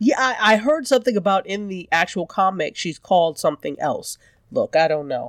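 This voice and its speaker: A woman speaks at medium pitch and a fairly quick pace, her pitch swinging very widely, in a dry, close sound with no echo. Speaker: podcast co-host. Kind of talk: casual chat.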